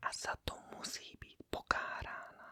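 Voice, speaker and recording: Noticeable background noise sits behind the voice. A woman whispers at a very slow pace. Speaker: ASMR content creator reading a classic novel aloud. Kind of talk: whispered reading of novel dialogue and narration. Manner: whispered, soft, relaxing.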